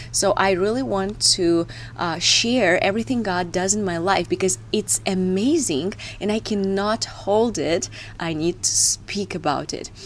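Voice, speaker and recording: A woman with a Russian accent speaks fairly slowly at a medium pitch with ordinary pitch variation over noticeable background noise. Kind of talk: devotional talk to camera. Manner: hesitant, with filler sounds.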